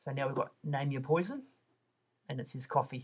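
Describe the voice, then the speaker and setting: This man has a fairly high, somewhat breathy voice with a New Zealand accent. His intonation stays fairly even. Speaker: online shop designer. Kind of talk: tutorial. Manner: casual, with fillers and restarts.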